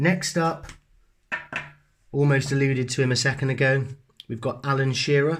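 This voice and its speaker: The recording is very clean and the background silent. A man talks with a somewhat breathy voice. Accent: Bristol. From England, Bristol. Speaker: sports card collector YouTuber. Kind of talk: casual show-and-tell video. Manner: hesitant, many fillers and restarts.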